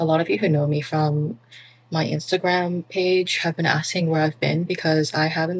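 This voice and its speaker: A woman's very deep, low voice, somewhat breathy. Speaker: small business owner vlogger. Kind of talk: casual vlog chat. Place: home room. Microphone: phone near.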